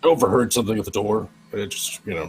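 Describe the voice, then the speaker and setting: A man's raspy, put-on character voice, fairly low in pitch, at a very fast pace. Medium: actual play. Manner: hesitant, casual.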